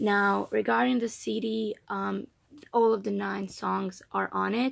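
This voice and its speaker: Against a quiet background, a woman speaks with a non-native accent. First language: not English. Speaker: K-pop fan vlogger. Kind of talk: unboxing video. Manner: casual, hesitant with fillers. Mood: soft, somewhat emotional. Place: home room. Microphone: phone near.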